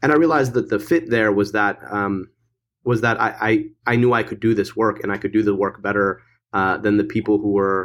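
A man with an American accent and an ordinary speaking voice talks at a fairly quick pace and a fairly low pitch, with ordinary pitch variation, on a very clean recording with a silent background. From Michigan. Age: 30s. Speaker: political candidate. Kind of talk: interview.

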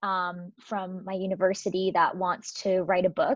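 A woman with an American accent speaks at a moderate pace and medium pitch, in an ordinary speaking voice. The sound is dry and close, with no echo. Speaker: strengths coach. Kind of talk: casual interview.

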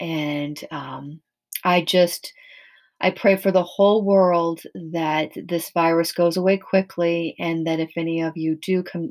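In a very clean recording with a silent background, a woman talks fairly slowly in a fairly low, monotone, flat voice. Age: 50s. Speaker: podcast host. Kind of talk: casual monologue.

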